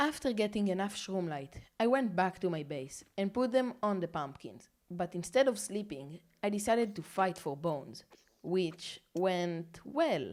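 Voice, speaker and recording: The speaker has a non-native accent and lively intonation. The pace is fairly slow. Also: woman, medium pitch for a woman. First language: not English. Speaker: gaming YouTuber. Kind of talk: narrated gameplay commentary. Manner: casual.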